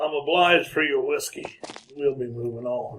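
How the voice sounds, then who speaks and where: A man does a put-on character voice in a Western US accent, pitched fairly high. He talks at a moderate pace. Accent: Western frontier drawl. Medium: old radio play. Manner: terse, gruff.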